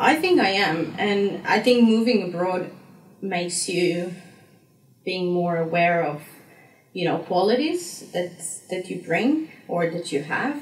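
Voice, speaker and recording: A woman speaks at a fairly slow pace with a Slovenian accent and a somewhat breathy voice. Her pitch varies in an ordinary way, and the room echo is audible. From Slovenia, south-east (Dolenjska). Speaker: graduate student. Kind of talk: interview. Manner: halting, many repetitions and fillers.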